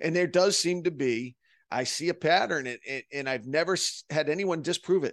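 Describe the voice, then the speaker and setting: A man with a plain, everyday voice, fairly high-pitched, at a moderate pace with ordinary pitch variation, the sound dry and close with no echo over a quiet background. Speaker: podcast host. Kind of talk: interview.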